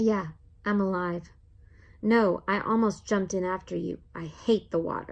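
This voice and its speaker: Over a quiet background, someone performs a put-on character voice at a moderate pace. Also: female-sounding voice, medium pitch for a woman. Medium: read story.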